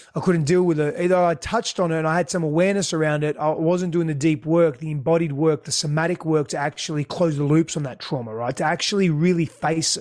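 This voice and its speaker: Talking at a very fast pace, a man with an Australian accent keeps a fairly even intonation. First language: Greek. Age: 30s. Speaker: relationship expert. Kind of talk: interview.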